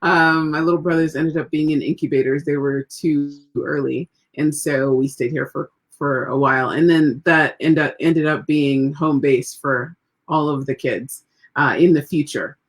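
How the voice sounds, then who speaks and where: In an American accent, a woman speaks at a moderate pace with a very deep, low pitch and monotone, flat intonation. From third culture kid, Trinidad, US, Spain, Turkey. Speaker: magazine editor. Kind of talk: interview. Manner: cheerful.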